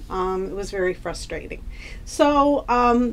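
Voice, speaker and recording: With lively intonation and a fairly high pitch, a woman speaks at a fairly slow pace. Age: 60s. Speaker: patient. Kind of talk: testimony. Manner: halting, many fillers.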